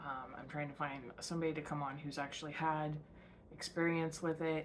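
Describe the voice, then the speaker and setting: Audible room echo surrounds a woman speaking in a very deep, low pitch for a woman. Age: 30s. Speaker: podcast host. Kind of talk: casual monologue. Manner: hesitant, many fillers.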